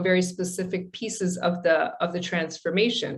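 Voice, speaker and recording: A woman at medium pitch with ordinary pitch variation and a plain, everyday voice. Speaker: presenter on a coaching and change management task force. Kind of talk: webinar presentation.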